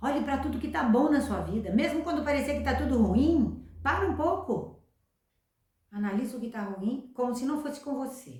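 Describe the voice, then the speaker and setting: With ordinary pitch variation and a moderate pace, the woman's voice sits at a high pitch. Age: 60s. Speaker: self-help youtuber. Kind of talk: motivational talk.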